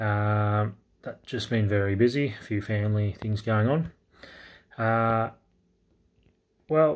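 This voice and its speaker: Quietly, a man with an Australian accent talks at a very slow pace in a fairly low pitch. He leaves long, frequent pauses, with ordinary pitch variation. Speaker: crypto YouTuber. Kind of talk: casual market update vlog. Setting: indoors at night, kids asleep. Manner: quiet, talking low; hesitant, many fillers. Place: home room. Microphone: phone near.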